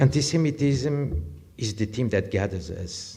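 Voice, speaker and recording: Somewhat breathy, a man with a French accent speaks in a dark, mellow tone with lively intonation and audible room echo. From France. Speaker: sociologist, lecturer. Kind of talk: lecture. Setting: lecture theatre with audience.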